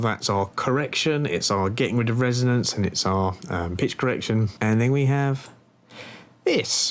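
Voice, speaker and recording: His pitch moves with ordinary variation. The man keeps a moderate pace. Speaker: music producer. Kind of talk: tutorial. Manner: casual, hesitant with fillers.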